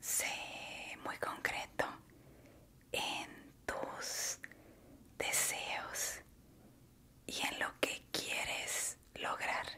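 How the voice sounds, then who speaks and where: Whispering in a calm tone, a woman speaks at a very slow pace with long, frequent pauses. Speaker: ASMR creator and meditation guide. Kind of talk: ASMR guided relaxation talk. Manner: soft-spoken, slow, calm. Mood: warm, encouraging. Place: home room. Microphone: studio mic.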